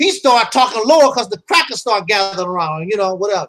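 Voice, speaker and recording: A man's raised, projected voice, animated and very fast, with a bright, sharp tone and lively intonation. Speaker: YouTube commentator. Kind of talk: casual chat. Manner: loud.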